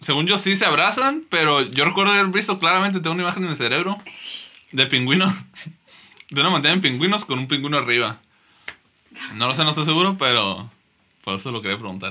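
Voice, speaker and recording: A fairly high male voice with very wide pitch swings, very fast delivery and long, frequent pauses. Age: 20s. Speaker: podcast co-host. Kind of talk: casual chat.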